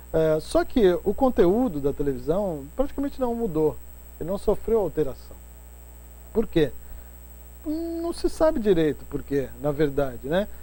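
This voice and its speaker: A man's voice at a fairly slow pace, broken by long, frequent pauses. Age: 60s. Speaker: professor and journalist. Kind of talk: casual interview chat.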